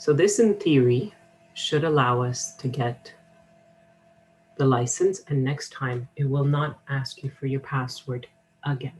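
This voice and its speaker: A woman speaks at a fairly slow pace with a somewhat breathy, very deep, low voice. Her pitch varies in an ordinary way, and she takes long, frequent pauses. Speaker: college instructor. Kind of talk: software tutorial.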